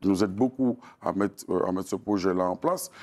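Over a quiet background, a man talks at a fairly quick pace. His pitch variation is ordinary. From Martinique, Fort-de-France; Martinique. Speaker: singer-songwriter and storyteller; interviewee. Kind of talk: interview. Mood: calm, reflective. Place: studio.

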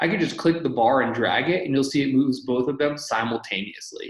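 Male speech at a moderate pace with ordinary pitch variation, audible room echo and a quiet background. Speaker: presenter. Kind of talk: tutorial. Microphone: video call.

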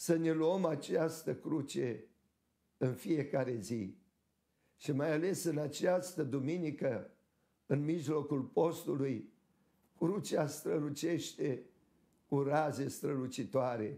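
Dark and mellow in tone, a man's voice carries vocal fry and ordinary pitch variation. He speaks very slowly, with long, frequent pauses. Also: fairly high pitch for a man. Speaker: Orthodox archbishop. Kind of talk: sermon.

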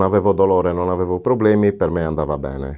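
A man talks in a very deep, low voice with a dark, mellow tone. His pitch variation is ordinary, and the background is quiet. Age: 50s. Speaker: dental patient. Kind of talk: testimonial. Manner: halting. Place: studio. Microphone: lapel.

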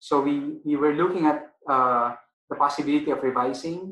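Fairly even intonation from a man pitched fairly high, with audible room echo. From Philippines. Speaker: arbitration lawyer; webinar panelist. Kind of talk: webinar panel discussion. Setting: video call. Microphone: video call.

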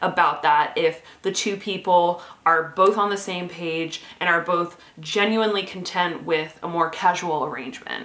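Speech moves at a moderate pace. Audible room echo follows the words. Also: woman. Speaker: dating advice vlogger. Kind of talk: casual vlog chat. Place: home room.

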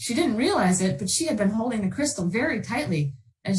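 The reading voice is unforced, and its intonation is lively.

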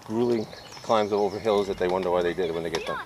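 The recording of a man has a dry sound with no echo and noticeable background noise. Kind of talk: casual chat. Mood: jokey, amused. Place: bicycle. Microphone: camera far.

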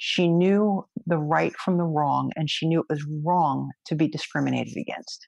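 At a moderate pace, a woman speaks with a New York accent over a quiet background, the sound dry with no echo. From New York, Brooklyn. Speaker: federal agent and judo instructor; judo instructor. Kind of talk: interview conversation. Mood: warm, smiling, animated. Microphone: webcam.

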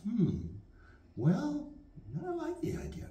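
A man is speaking. Room echo can be heard around his voice. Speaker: storyteller. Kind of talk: children's storytelling. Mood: gentle, wondering, playful. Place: classroom. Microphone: camera far.

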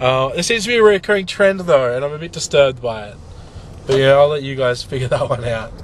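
With an Australian accent, a man with a fairly high pitch talks at a fairly quick pace and lively intonation amid noticeable background noise. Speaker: vlogger. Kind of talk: casual talk to camera.

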